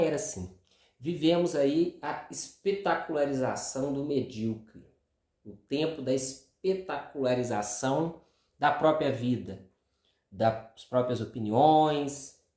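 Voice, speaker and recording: A soft-spoken man with a dark, mellow tone, lively intonation, big swings in loudness and a very slow pace. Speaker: video commentator. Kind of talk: monologue. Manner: casual. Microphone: no lapel mic, speaking without clip-on.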